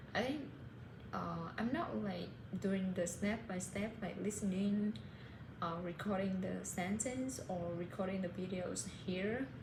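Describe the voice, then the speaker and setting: The speaker has a Vietnamese accent and lively intonation at a fairly slow pace. There is noticeable background noise and audible room echo. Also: woman, medium pitch for a woman. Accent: Vietnamese, self-described. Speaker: English learner vlogger. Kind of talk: casual monologue. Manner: halting, many fillers.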